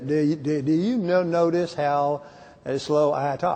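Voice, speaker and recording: Putting on a drawling character voice in a Southern US accent, a man speaks at a moderate pace with a fairly high pitch and ordinary pitch variation. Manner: slow, drawling.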